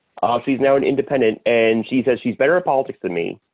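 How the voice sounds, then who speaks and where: Lively intonation from a man at a medium pitch. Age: 30s. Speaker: podcast co-host. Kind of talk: casual chat.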